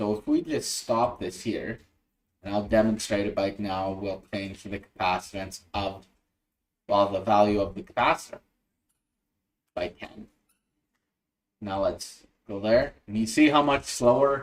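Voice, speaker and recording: Speaking at a fairly slow pace with long, frequent pauses, a man uses a fairly low pitch with ordinary pitch variation and big swings in loudness. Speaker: electronics hobbyist livestreamer; electronics instructor. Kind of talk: livestream tutorial. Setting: livestream screen share. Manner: halting, many fillers. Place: home room.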